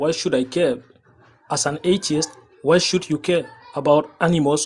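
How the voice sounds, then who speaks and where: The speaker has a French accent and talks at a moderate pace. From France. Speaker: debate caller. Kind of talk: heated debate.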